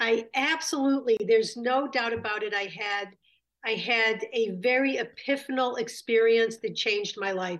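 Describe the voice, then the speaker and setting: A woman at a moderate pace with ordinary pitch variation, in a quiet background. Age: 60s. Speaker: rabbi and community founder. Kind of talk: interview conversation. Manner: animated.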